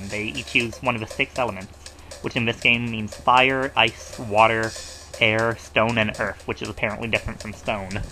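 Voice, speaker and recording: A man's fairly even intonation plays out with music in the background. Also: medium pitch for a man, moderate pace. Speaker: let's play gamer. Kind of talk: casual gameplay commentary. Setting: low-quality home microphone.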